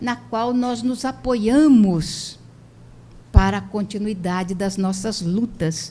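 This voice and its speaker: A woman talks at a very slow pace in a dark, mellow tone that is somewhat breathy. Her intonation is lively, and her loudness swings widely. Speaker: spiritist lecturer. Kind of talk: lecture.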